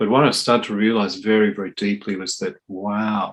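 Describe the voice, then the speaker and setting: A man with an Australian accent, fairly low in pitch, at a fairly quick pace, with fairly even intonation. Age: 60s. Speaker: drummer and percussionist. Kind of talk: interview.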